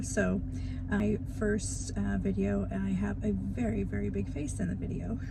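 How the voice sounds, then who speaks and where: Soft-spoken and at a fairly slow pace, the voice comes through audible room echo and noticeable background noise. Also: woman. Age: 50s. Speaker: beginner YouTuber vlogger. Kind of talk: casual vlog talk to camera.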